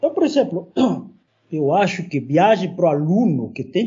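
A man speaks at a high pitch with very wide pitch swings. His pace is fairly slow. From Peru. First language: Spanish (speaking Portuguese). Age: 40s. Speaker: university professor. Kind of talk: casual chat.

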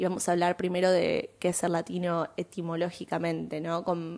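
A woman with a fairly low pitch speaks in an Argentine accent. Her intonation is monotone and flat, on a very clean recording with a silent background. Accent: Rioplatense Argentine Spanish. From Argentina, Buenos Aires. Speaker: podcast host. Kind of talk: solo monologue podcast. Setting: home recording, fan turned off.

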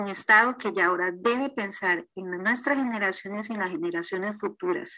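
Against a quiet background, a woman speaks at a moderate pace in a medium-pitched, bright, sharp voice with ordinary pitch variation. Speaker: lawyer. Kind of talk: recorded expert comment.

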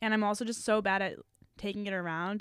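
On a very clean recording with a silent background and a dry, close sound with no echo, a woman with a plain, everyday voice speaks at a fairly quick pace with fairly even intonation. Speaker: college student podcaster. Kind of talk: casual chat.

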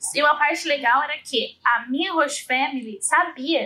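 Her voice raised and projected, a woman speaks in a bright, sharp tone with ordinary pitch variation. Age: 20s. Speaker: reality TV personality. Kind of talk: casual chat.

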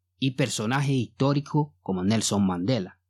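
An ordinary speaking voice from a man at a medium pitch with ordinary pitch variation, on a very clean recording with a silent background. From Mali. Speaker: podcast host. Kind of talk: podcast monologue; educational narration.

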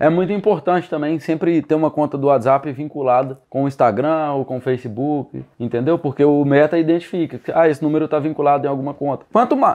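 A man with a plain, everyday voice, fairly high in pitch, with ordinary pitch variation and a fairly quick pace against a quiet background. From Minas Gerais, Brazil (Sete Lagoas). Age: 20s. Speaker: digital marketing entrepreneur. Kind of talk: casual podcast interview.

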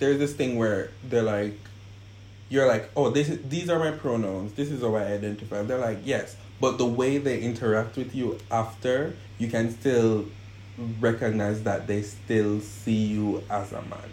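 Somewhat breathy delivery with ordinary pitch variation. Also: man, medium pitch for a man, moderate pace. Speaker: guest in a couple interview. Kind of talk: casual interview chat.

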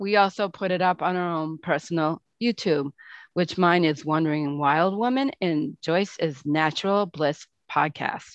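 In a dry, close recording with no echo and a quiet background, a woman with a plain, everyday voice talks fairly slowly at a fairly low pitch, with lively intonation. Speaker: podcast co-host. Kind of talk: casual chat.

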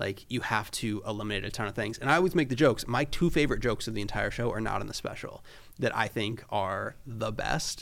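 Vocal fry marks this man's medium-pitched voice, spoken in an American accent. His pace is fairly quick. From Florida. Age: 20s. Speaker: photographer and creative director. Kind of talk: casual chat.

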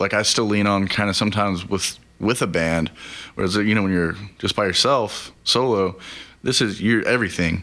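A plain, everyday voice in an American accent, at a moderate pace, with very even loudness and fairly even intonation. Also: man, fairly low pitch for a man. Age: 30s. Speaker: songwriter and musician, military veteran. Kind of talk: casual interview chat.

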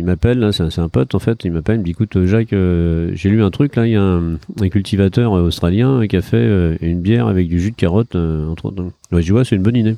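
With a dark, mellow tone and a very deep, low pitch, a man talks very fast with hardly any pauses and ordinary pitch variation, the sound dry and close with no echo. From Brittany, France. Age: 60s. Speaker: entrepreneur, car dealer and brewery owner. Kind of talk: interview. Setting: on location in a brewery.

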